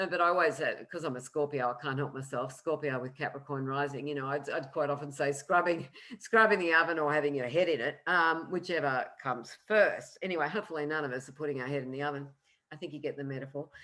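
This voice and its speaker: A woman with an Australian accent, a very deep, low pitch and a bright, sharp tone, talking at a very fast pace with ordinary pitch variation. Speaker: astrologer. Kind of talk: lecture.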